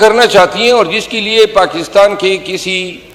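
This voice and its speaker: Through noticeable background noise, a man speaks in a high pitch. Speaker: member of parliament. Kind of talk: parliamentary speech.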